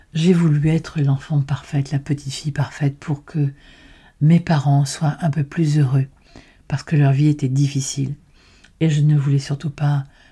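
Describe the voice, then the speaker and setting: A somewhat breathy, dark and mellow voice at a moderate pace with monotone, flat intonation. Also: woman. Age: 70s. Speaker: personal development podcaster. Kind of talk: educational monologue. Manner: halting.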